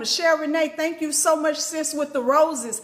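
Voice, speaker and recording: A woman with a high pitch speaks at a moderate pace in an animated tone. Noticeable background noise runs behind her. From Arkansas, US South. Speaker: spiritual teacher and livestreamer. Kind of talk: live stream teaching with chat shout-outs. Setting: live stream.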